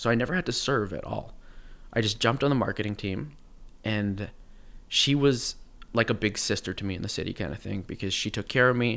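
In a very clean recording with a silent background, a man with a Canadian accent speaks at a fairly quick pace in a normal speaking voice with ordinary pitch variation. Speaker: actor. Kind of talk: casual chat.

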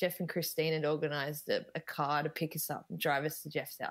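With an Australian accent, a woman speaks at a very deep, low pitch. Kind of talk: casual interview chat. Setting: video call.

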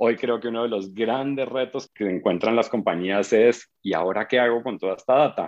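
A man speaks in a normal speaking voice at a moderate pace. His pitch sits in the medium range, with ordinary variation. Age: 40s. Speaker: advertising agency CEO. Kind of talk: interview. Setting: video call.

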